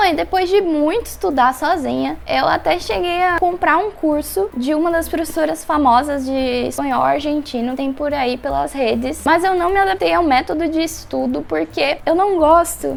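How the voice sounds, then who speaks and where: A woman talks in a São Paulo accent with hardly any pauses. Noticeable background noise is present. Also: moderate pace. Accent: Brazilian Portuguese, São Paulo. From São Paulo, Brazil. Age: 20s. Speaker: medical student. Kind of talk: casual talk to camera.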